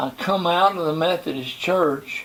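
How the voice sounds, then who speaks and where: Over noticeable background noise, a man with an American accent speaks very slowly at a fairly high pitch. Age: 90s. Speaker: pastor. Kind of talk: testimony. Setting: interview.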